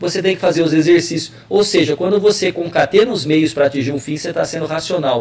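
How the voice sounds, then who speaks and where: A man with a high-pitched voice talks at a fairly quick pace with lively intonation. Noticeable background noise runs behind him. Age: 40s. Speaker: political scientist and university professor. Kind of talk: interview on web radio. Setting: web radio live.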